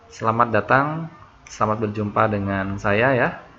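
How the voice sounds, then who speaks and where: Here a man speaks in a fairly low pitch. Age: 20s. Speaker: online tutor. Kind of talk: online class introduction. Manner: halting.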